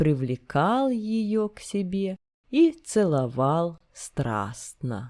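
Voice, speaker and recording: Very wide pitch swings shape a woman's dark, mellow tone. She moves at a very slow pace on a very clean recording with a silent background. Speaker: narrator reading literature. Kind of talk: reading aloud.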